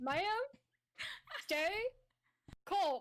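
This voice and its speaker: The speaker uses a put-on character voice. The pitch swings very widely. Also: woman. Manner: calm, reassuring.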